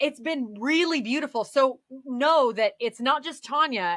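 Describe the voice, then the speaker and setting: A woman speaks with lively intonation in a bright, sharp, animated tone. The sound is dry and close with no echo, a very clean recording over a silent background. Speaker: podcast guest. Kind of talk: casual chat. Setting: live stream. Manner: loud.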